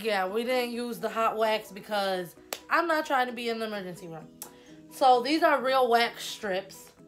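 A woman speaks fairly slowly while faint music plays behind her. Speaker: vlogger. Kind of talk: casual vlog chat. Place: home room. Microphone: phone near.

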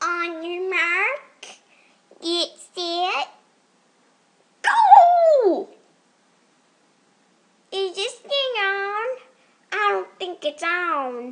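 A female-sounding, put-on character voice at an extremely high pitch. It moves at a very slow pace, with long, frequent pauses. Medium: voice reel.

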